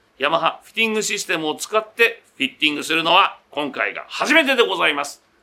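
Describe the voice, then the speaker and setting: A man projects a raised voice with a bright, sharp tone at a fairly quick pace. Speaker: radio host. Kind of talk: casual chat. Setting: on location at a golf studio.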